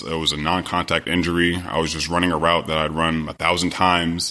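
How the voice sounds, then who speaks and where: A man with an American accent talks at a moderate pace, his pitch very deep and low and his tone bright and sharp. The recording is very clean, with a silent background. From US West, Sacramento, California. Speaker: former pro football player. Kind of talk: interview, casual chat.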